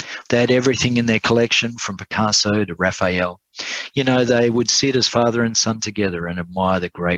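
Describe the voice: The text is read aloud plainly, with ordinary pitch variation.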